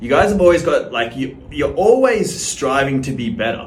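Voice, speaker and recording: A man with an Australian accent amid noticeable background noise. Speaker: social media creator. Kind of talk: casual to-camera monologue.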